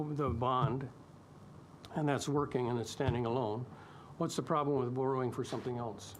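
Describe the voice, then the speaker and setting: Audible room echo hangs around the speech. It is a man talking with fairly even intonation. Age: 70s. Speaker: public submitter at council hearing. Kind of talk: public hearing Q&A, debate.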